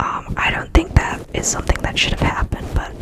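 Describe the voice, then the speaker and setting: A whisper in a relaxed tone comes through against noticeable background noise. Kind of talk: ASMR ramble, personal story told to camera. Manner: soft-spoken, relaxed, chatty.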